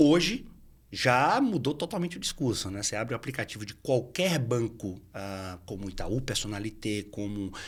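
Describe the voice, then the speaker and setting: A man speaks at a moderate pace. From Bahia, Brazil. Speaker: entrepreneur in finance. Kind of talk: podcast interview. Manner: halting, many fillers.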